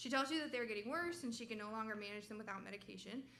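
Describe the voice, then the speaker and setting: Audible room echo surrounds a woman speaking at a fairly high pitch with ordinary pitch variation. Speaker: medical resident presenting research. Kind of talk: research presentation. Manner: loud.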